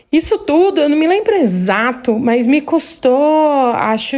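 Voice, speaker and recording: Intonation rises and falls in a lively way. The delivery is very slow. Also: woman. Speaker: listener sending a story. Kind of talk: recorded voice message telling a story. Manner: halting.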